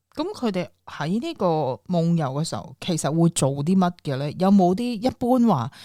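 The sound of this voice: A woman's fairly low, dark, mellow voice at a moderate pace, with big pitch swings.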